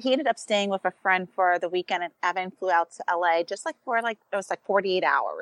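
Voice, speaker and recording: With an American accent, a woman talks at a fairly quick pace in an ordinary speaking voice. Her pitch is medium and varies in an ordinary way. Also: dry, close sound with no echo. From New York. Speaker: former teacher and mom, TV personality. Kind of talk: casual chat.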